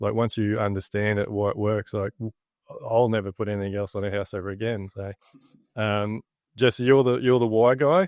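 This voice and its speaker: A man with an Australian accent, fairly low in pitch and fairly quick, with fairly even intonation and a dry, close sound with no echo. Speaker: builder and podcast host. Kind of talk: casual interview chat.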